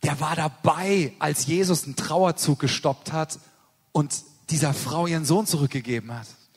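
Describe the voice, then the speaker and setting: Somewhat breathy, this speech proceeds at a moderate pace. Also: man, fairly high pitch for a man, ordinary pitch variation. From Germany. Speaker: missionary preacher. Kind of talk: sermon.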